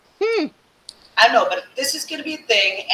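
There is audible room echo as a woman speaks with lively intonation. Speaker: online happy hour host. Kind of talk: casual live chat. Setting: live video stream. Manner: animated, upbeat. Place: home room.

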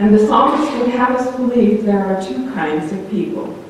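There is strong room echo and light background noise as a woman talks at a fairly slow pace. Her pitch varies in an ordinary way. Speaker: preacher. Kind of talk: sermon. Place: church.

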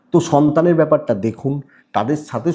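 In a very clean recording with a silent background, a man speaks at a medium pitch in a somewhat breathy voice. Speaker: astrologer. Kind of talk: horoscope monologue to camera. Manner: repetitive, restarting phrases.

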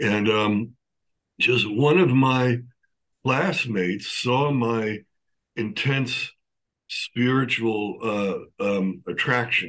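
A man with an American accent speaks at a very slow pace, leaving long, frequent pauses, with ordinary pitch variation over a quiet background. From New York, Long Island; New York. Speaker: neurofeedback therapist; podcast guest. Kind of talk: interview. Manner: halting. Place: home room. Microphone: webcam.

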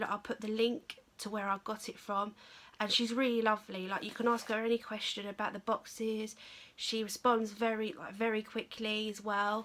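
Her voice sits at a medium pitch for a woman, fairly bright in tone, moving at a moderate pace with little pitch movement.

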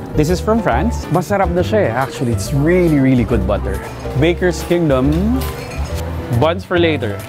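Clear music plays in the background. The speaking pace is moderate. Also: man. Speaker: shopper host. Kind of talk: casual vlog chat. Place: shop. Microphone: lapel.

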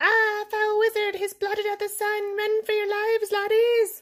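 The voice has an extremely high pitch and a monotone, flat intonation. It moves at a moderate pace. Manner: panicked, shouting.

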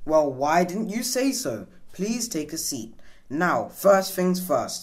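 A woman puts on a character voice, speaking slowly at a low pitch with big pitch swings.

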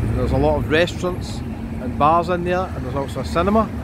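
Moderate pace over loud background noise, with a dry sound and no echo. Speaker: walking tour vlogger. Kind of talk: casual tour commentary. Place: street. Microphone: phone near.

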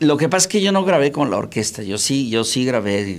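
Very wide pitch swings from a man at a moderate pace. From Mexico, Monterrey; Nuevo León, Mexico. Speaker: singer, tenor; interviewee. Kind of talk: interview. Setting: studio. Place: studio. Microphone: handheld.

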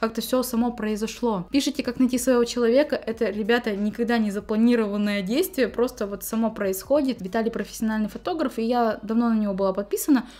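A woman talks at a very fast pace with hardly any pauses. Her pitch is fairly high and varies an ordinary amount. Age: 20s. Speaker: beauty vlogger. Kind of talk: vlog Q&A monologue. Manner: casual, chatty. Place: home room.

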